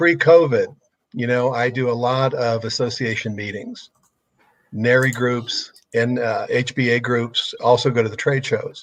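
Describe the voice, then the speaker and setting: Speaking at a fairly slow pace, a man has a plain, everyday voice at medium pitch with fairly even intonation. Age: 60s. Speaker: business consultant. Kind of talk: casual interview.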